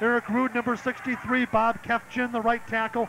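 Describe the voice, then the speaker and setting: Over noticeable background noise, a man projects a raised voice at an extremely high pitch, monotone and flat in intonation, at a moderate pace. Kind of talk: live sports play-by-play commentary. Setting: press box at stadium.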